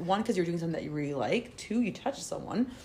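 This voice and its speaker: This woman has an American accent and a fairly low pitch. Noticeable background noise sits behind her. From Spain. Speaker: guest. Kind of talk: casual chat.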